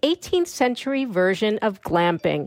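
A woman with an American accent speaks at a fairly slow pace, her pitch making very wide swings. The sound is dry and close, with no echo. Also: very clean recording, silent background. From New York, Long Island. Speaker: listener giving voice feedback. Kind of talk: read-out voice message.

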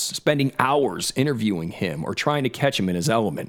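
Vocal fry marks this man's voice. He talks at a very fast pace with very wide pitch swings. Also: very clean recording, silent background. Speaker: podcast host. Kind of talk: scripted narration mixed with casual chat.

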